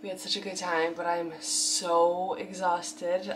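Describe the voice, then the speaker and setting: A woman talks at a fairly slow pace with a fairly low pitch. Noticeable background noise runs behind her. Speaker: lifestyle vlogger. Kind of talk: casual vlog talk to camera.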